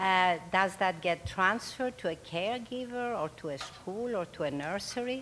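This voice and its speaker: A woman with a non-native accent, moderate pace and ordinary pitch variation. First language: not English. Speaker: audience member. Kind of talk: audience question. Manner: halting.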